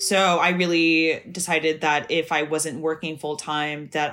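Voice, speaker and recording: A woman speaks at a moderate pace with an American accent. Her very deep, low voice stays monotone and flat. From Northern California. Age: 30s. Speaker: embroidery artist and optician. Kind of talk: casual interview chat.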